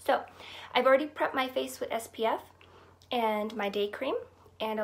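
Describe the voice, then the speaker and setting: A woman speaks at a moderate pace in a fairly high pitch with ordinary pitch variation. She has a plain, everyday voice. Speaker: beauty vlogger. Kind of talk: casual talk to camera.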